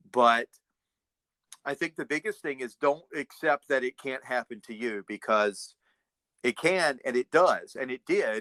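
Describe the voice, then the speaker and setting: Speaking in an American accent, this man has a medium-pitched voice whose pitch varies in an ordinary way. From United States. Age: 50s. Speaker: realtor. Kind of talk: interview answer.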